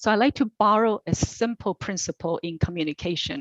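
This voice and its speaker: In a dry, close recording with no echo and a quiet background, a woman with a non-native accent speaks at a medium pitch. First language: not English. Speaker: commission applicant. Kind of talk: interview answer. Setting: virtual meeting. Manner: deliberate, tries not to rush.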